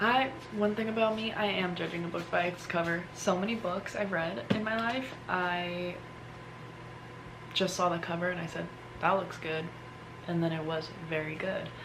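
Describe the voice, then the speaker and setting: A whispered voice at a moderate pace, broken by long, frequent pauses, with noticeable background noise and audible room echo. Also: woman. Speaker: lifestyle vlogger. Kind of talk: casual vlog talk. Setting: at home. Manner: whispering; animated.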